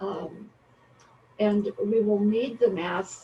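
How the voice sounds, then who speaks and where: A woman's medium-pitched voice at a very slow pace, monotone and flat, over noticeable background noise. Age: old. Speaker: public commenter. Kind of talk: public comment. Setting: video call. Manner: halting.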